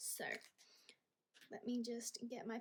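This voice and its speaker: A woman speaks with an Australian accent. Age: 20s. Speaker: budgeting vlogger. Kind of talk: casual vlog talk to camera.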